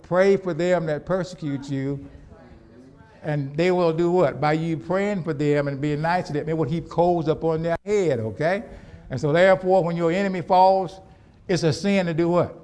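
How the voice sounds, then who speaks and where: The delivery has an animated tone with ordinary pitch variation. Room echo is audible. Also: man. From US Southwest (Phoenix, Arizona). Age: 70s. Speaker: pastor. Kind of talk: sermon. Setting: church. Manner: animated, call-and-response questions.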